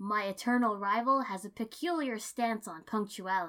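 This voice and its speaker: A booming, put-on character voice from a woman at a moderate pace. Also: medium pitch for a woman. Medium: read story. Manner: loud, grandiose, theatrical.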